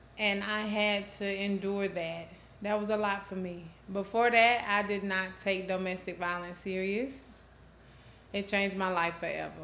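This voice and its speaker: A woman with an American accent, medium pitch and a bright, sharp tone, monotone and flat at a moderate pace, with audible room echo. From US South, Georgia (Rome). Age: 30s. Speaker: domestic violence advocate, organization founder. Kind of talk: interview testimony.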